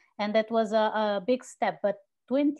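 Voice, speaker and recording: Over a quiet background, a woman with a Portuguese accent speaks at a very slow pace. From Portugal. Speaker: journalist and conference organizer; journalist. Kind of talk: casual chat. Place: home room. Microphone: earbuds.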